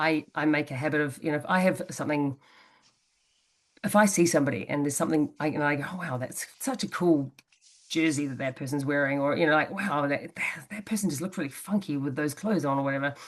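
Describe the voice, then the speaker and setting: Very fast speech shows ordinary variation in pitch. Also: woman, very deep, low pitch for a woman. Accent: New Zealand. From New Zealand. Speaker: interview guest, personal growth speaker. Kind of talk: casual interview conversation. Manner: hesitant, many fillers and restarts.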